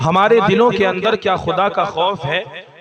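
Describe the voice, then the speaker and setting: Noticeable background noise behind a man's high voice. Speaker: Islamic preacher. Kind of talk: religious sermon.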